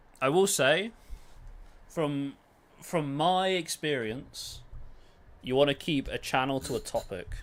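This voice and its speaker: A man with a British accent and fairly high pitch, at a very slow pace with long, frequent pauses and ordinary pitch variation, in a very clean recording with a silent background. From Britain. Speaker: gaming streamer. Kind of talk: casual live stream chat. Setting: live stream.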